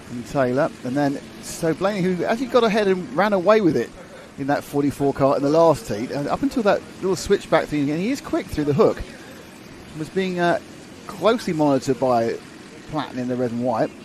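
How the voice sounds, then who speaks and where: This man talks fairly quickly with a fairly high pitch and lively intonation, while noticeable background noise runs underneath. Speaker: motorsport commentator. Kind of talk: live commentary.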